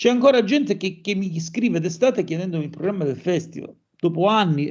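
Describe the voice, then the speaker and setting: His pitch is high for a man. He talks at a fairly quick pace with lively intonation. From Calabria, Catanzaro. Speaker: musician and anthropologist. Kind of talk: interview conversation.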